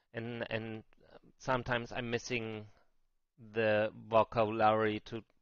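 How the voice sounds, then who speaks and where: Against a quiet background, a man with a German accent talks at a fairly slow pace and a medium pitch. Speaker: crypto trading streamer. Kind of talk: live stream market talk. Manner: halting, with many fillers and repeats.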